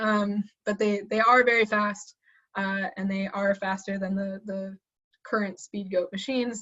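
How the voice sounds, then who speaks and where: With monotone, flat intonation, this woman's voice sits at a medium pitch. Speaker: assistant professor. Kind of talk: webinar lecture. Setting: online webinar. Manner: fast; hesitant with fillers.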